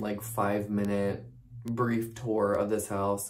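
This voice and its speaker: Light background noise sits behind a man's speech. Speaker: vlogger. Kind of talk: casual vlog chat. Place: home room. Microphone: phone near.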